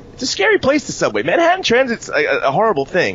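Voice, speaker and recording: A man speaks at a very fast pace with an American accent. Noticeable background noise runs behind him. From New York. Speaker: wrestling podcast host. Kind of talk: casual chat.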